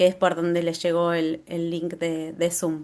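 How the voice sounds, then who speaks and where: A woman speaks at a fairly slow pace with a Rioplatense accent against a quiet background. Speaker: agroecology garden workshop presenter. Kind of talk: Q&A at end of online workshop. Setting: video call.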